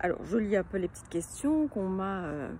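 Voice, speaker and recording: A woman speaks with a slight Belgian accent. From Belgium, near Liège. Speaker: children's book illustrator and author. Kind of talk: casual self-presentation to camera. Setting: outdoors in her garden. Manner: hesitant, many fillers.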